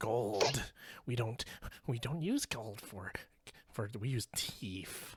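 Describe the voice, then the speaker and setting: Using a put-on character voice at a medium pitch, a man speaks at a very slow pace with long, frequent pauses. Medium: actual play. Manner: blunt, resigned.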